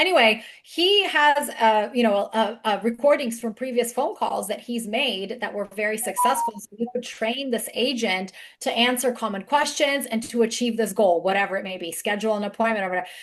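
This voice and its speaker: A woman with a slight non-native accent speaks at a fairly quick pace in a fairly high pitch, with ordinary pitch variation and hardly any pauses. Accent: slight foreign. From outside the US. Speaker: webinar speaker on AI for business. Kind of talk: webinar panel talk.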